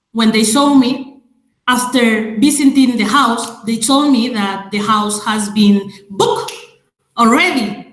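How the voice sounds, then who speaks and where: A woman with a Spanish accent speaks at a very slow pace and a fairly high pitch, with ordinary pitch variation. Room echo is audible. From Madrid, Spain. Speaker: webinar speaker on racism. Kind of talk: webinar presentation. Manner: halting, many fillers.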